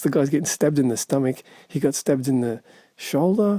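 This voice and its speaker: The speech is mumbled. It runs at a very fast pace. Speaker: movie commentator. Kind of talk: casual talk to camera. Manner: mumbling.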